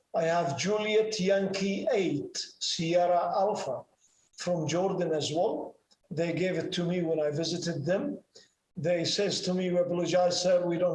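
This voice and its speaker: Speaking with a slight non-native accent, a man uses a high pitch, monotone, flat intonation and a moderate pace. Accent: slight foreign accent in English. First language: Arabic. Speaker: ham radio operator and pilot. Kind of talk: presentation and Q&A. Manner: halting, many fillers.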